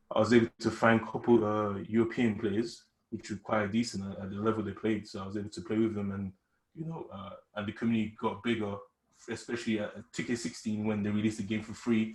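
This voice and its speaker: Talking at a very fast pace, a man with a British accent has a fairly low, somewhat breathy voice, fairly even intonation, and big swings in loudness. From UK. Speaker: esports gamer. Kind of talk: casual interview.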